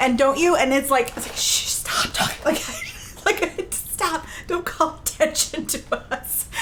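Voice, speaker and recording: Noticeable background noise sits behind a woman speaking with a high pitch and an animated tone. Her pace is fairly slow, and her pitch variation is ordinary. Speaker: streamer. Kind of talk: casual chat.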